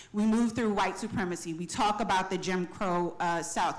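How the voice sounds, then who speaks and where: Her medium pitch varying in an ordinary way, a woman speaks at a fairly quick pace over noticeable background noise. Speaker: audience member asking a question; civil rights education director. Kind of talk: audience question at panel. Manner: fast.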